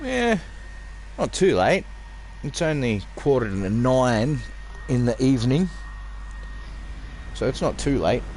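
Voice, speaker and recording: A man with an Australian accent talks at a fairly slow pace, leaving long, frequent pauses. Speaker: video game streamer. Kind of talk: casual live-stream commentary.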